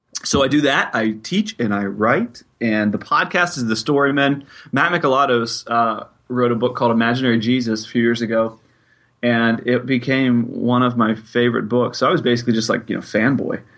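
A man with an unremarkable speaking voice talks at a fairly quick pace with fairly even intonation. His loudness stays very even over a quiet background. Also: medium pitch for a man. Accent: American. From Pittsburgh, Pennsylvania. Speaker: college teacher and writer, podcaster. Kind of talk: interview.

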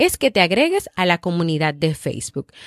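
The woman's voice swings very widely in pitch, in a dry, close sound with no echo. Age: 30s. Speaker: podcast host and psychologist. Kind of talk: motivational podcast monologue.

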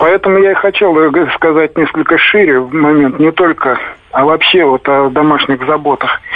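The pace is moderate and the loudness very even, with ordinary pitch variation. Noticeable background noise runs underneath. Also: man, fairly high pitch for a man. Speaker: caller; widower. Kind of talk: phone-in call. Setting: phone call.

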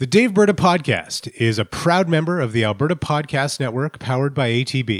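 With a plain, everyday voice, a man speaks at a fairly high pitch and a fairly quick pace, his intonation lively and his pauses few. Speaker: podcast producer. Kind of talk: ad read.

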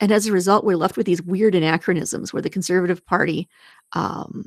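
A woman with a Canadian accent talks at a moderate pace in an ordinary speaking voice, medium in pitch with ordinary pitch variation. The sound is dry and close, with no echo. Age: 50s. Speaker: senator. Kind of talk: casual interview chat.

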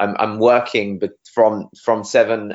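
A man speaks with a British accent. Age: 30s. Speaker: SEO agency director. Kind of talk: interview. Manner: fast, animated.

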